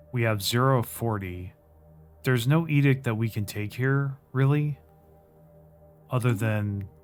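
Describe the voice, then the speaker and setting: With music in the background, a man of medium pitch speaks at a fairly slow pace, with ordinary pitch variation and long, frequent pauses. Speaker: gaming YouTuber. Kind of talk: gameplay commentary. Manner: hesitant, filler words.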